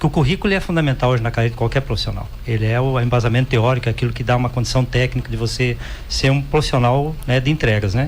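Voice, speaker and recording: Very fast and with hardly any pauses, a man speaks in a somewhat breathy voice. His pitch varies in an ordinary way. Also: medium pitch for a man. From Rio Grande do Sul, Brazil (rural). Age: 60s. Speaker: cooperative executive. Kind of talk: podcast interview.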